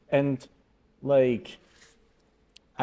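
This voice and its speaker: This is a man talking with a Polish accent. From Poland. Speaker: podcast co-host. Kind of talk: casual chat. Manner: halting.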